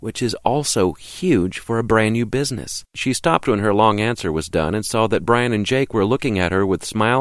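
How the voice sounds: The voice reads naturally, and its pitch varies in an ordinary way.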